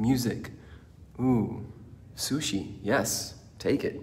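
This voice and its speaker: Somewhat breathy, a man talks with ordinary pitch variation over audible room echo. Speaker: motivational speaker. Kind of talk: motivational talk. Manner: energetic.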